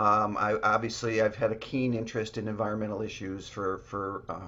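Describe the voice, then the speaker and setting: A man with a slight Chicago accent talks at a moderate pace in a bright, sharp tone. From US Midwest, Chicago. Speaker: real estate developer. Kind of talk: podcast interview. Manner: halting, many fillers.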